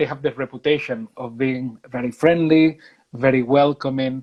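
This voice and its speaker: Music plays in the background as a man with a Spanish accent speaks at medium pitch and a moderate pace, with fairly even intonation in a dry, close sound with no echo. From Spain. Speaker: university recruitment manager. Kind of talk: interview. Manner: halting with repetitions.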